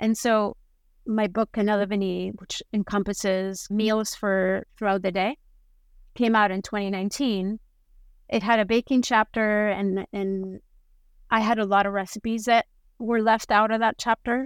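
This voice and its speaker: With a Spanish accent, a woman speaks at a moderate pace in a fairly high pitch and a monotone, flat intonation. The recording is very clean with a silent background and a dry, close sound with no echo. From Spain, Basque Country. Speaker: food photographer and author. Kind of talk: interview.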